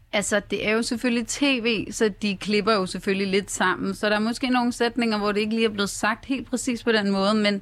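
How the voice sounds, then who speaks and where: On a very clean recording with a silent background, a woman in a normal speaking voice talks at a moderate pace, fairly high in pitch with fairly even intonation. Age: 20s. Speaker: hairdresser and reality TV participant. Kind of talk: radio interview. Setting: radio studio.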